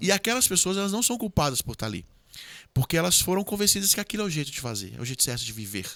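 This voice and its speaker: The voice is bright and sharp, moving at a very fast pace with very wide pitch swings. The recording is very clean with a silent background, and the sound is dry and close with no echo. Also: man, high pitch for a man. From Ceará, Brazil. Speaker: government official and former military officer. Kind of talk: podcast interview.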